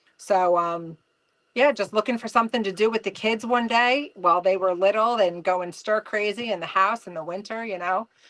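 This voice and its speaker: With a New Jersey accent, a woman talks at a moderate pace and medium pitch with ordinary pitch variation against a quiet background. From New Jersey, US. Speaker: trapper, mother. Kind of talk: casual podcast interview.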